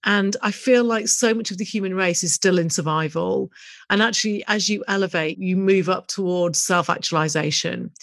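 On a very clean recording with a silent background, the speaking goes at a moderate speed and shows ordinary pitch variation. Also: woman, medium pitch for a woman. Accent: British. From UK. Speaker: business coach and podcast host. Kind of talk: solo podcast monologue.

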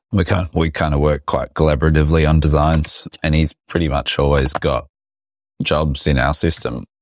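A man with an Australian accent and vocal fry, at a moderate pace with fairly even intonation, in a dry, close sound with no echo. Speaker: business podcast host. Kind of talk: casual chat. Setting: video call.

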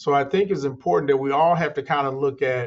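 A man talks in a fairly high, somewhat breathy voice. His pitch varies in an ordinary way. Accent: American. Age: 60s. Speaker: construction company founder. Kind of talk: interview conversation.

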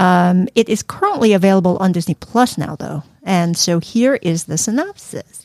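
Dry and close with no echo, a woman's recording presents an unremarkable speaking voice at medium pitch, with a moderate pace, hardly any pauses and ordinary pitch variation. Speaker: podcast host. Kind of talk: casual chat.

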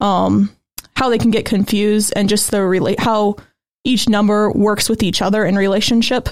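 Using a plain, everyday voice, a woman of medium pitch speaks at a moderate pace with fairly even intonation. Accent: American. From Goshen, Indiana, US Midwest. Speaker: graphic designer and author. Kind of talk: casual interview chat.

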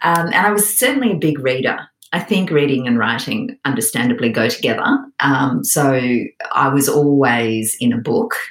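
At a moderate pace, a woman with a very deep, low pitch makes very wide pitch swings while keeping her loudness very even. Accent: Australian. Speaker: author. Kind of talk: interview chat.

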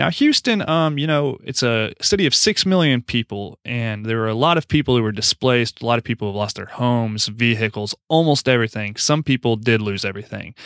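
A man with an American accent, a plain, everyday voice, medium pitch and ordinary pitch variation, at a fairly quick pace with hardly any pauses, in a dry, close, very clean recording with a silent background. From Oklahoma. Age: 20s. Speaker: real estate investor. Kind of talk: podcast interview.

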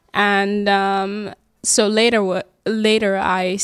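A woman's medium-pitched voice in a dry, close sound with no echo. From Germany. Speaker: university student. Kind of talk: casual interview.

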